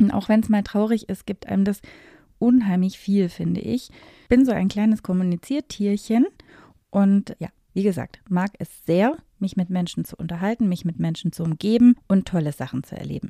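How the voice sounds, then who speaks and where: A woman's somewhat breathy, dark, mellow voice at a medium pitch and moderate pace, with ordinary pitch variation, big swings in loudness, and a dry, close sound with no echo. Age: 40s. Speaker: wedding and event planner. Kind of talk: podcast monologue.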